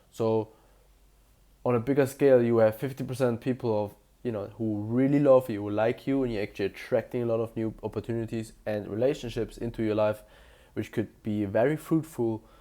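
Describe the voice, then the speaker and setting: In a very clean recording with a silent background, a man with a German accent talks at a fairly quick pace, medium in pitch, his intonation fairly even. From Germany. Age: 20s. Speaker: self-improvement youtuber. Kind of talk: motivational monologue to camera. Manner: casual, slightly halting.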